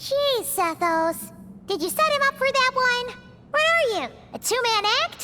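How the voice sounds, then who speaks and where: Over loud background noise, a put-on character voice, squeaky and extremely high-pitched, goes at a moderate pace. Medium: video game.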